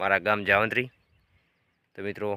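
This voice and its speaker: A man's fairly low, bright and sharp voice in a flat monotone, on a very clean recording with a silent background. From India, Gujarat (Patan district, north Gujarat). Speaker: vlogger and farmer. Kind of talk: casual vlog talk to camera. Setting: outdoors in a farm field.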